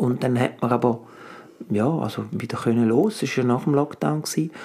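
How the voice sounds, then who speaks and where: Over noticeable background noise, a man with a medium pitch talks at a moderate pace. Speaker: actor and coach, podcast co-host. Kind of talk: casual chat.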